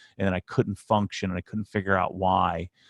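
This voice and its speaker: A man speaks at a fairly quick pace with an American accent. His pitch is very deep and low. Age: 40s. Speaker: YouTuber and business owner. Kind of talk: interview. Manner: animated.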